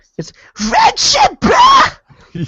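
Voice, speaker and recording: Shouting in a loud, put-on character voice, the speaker hits an extremely high pitch. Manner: loud, screaming, obnoxious.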